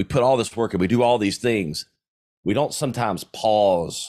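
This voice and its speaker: Over a silent background in a very clean recording, a man with a slight Southern US accent talks at a moderate pace with ordinary pitch variation. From US South, South Carolina. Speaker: entrepreneur and podcaster. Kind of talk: interview. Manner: casual.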